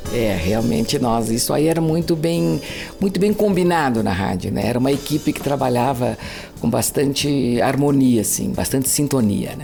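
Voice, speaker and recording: A woman's very deep, low voice with very wide pitch swings, at a moderate pace over noticeable background noise. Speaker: radio announcer. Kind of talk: interview answer.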